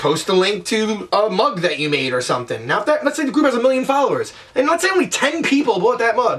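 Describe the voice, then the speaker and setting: The speaker sounds energetic, moving at a fairly quick pace with very wide pitch swings. Noticeable background noise runs underneath. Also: man. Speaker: online business vlogger. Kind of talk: tutorial. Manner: fast; casual, energetic.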